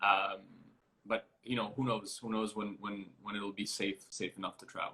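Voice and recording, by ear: A man's fairly low voice, bright and sharp in tone with a slightly husky edge, little pitch movement, and a moderate pace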